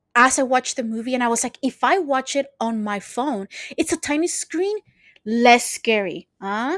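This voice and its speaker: A woman speaks in a Spanish accent at a high pitch and a moderate pace, with lively intonation and an animated tone. The sound is dry and close with no echo, in a very clean recording with a silent background. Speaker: podcast co-host. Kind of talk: casual chat.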